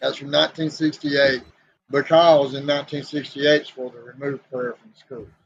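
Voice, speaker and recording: Delivery runs fairly quickly. The intonation stays monotone, flat throughout. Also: man, fairly high pitch for a man, big swings in loudness. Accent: Southern US. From US South (Southeast Tennessee). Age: 60s. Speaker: podcast co-host. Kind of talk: casual chat.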